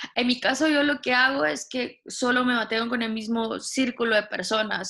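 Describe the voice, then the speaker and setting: A woman's bright, sharp tone with ordinary pitch variation. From Guatemala. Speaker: radio voice talent and volunteer. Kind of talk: casual interview chat. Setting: video call.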